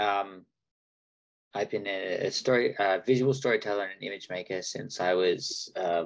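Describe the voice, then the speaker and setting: This man talks in an Australian accent at a moderate pace. His fairly low pitch shows ordinary variation. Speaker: agency founder and workshop presenter. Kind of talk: webinar presentation.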